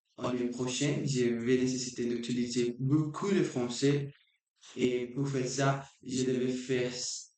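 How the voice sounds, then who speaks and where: A man at medium pitch speaks very slowly in a flat monotone with a dark, mellow tone. Room echo is audible. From Brazil. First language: Portuguese (speaking French). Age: 20s. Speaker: language learner vlogger. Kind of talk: unscripted practice monologue. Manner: halting, with many restarts.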